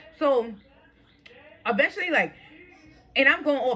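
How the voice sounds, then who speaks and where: A woman talks very fast over noticeable background noise. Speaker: vlogger. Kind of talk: storytime rant. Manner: animated.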